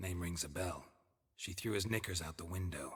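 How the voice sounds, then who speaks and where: A put-on character voice from a man, very deep and low in pitch, at a fairly quick pace. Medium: video game. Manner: dry, clipped, deadpan.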